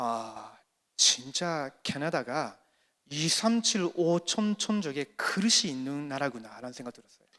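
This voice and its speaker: A man with a fairly high pitch and a bright, sharp tone talks at a very slow pace, with lively intonation and big swings in loudness. The recording is very clean and the background silent. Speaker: pastor, conference speaker. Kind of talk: sermon with consecutive interpretation. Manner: short phrases with pauses for interpreter.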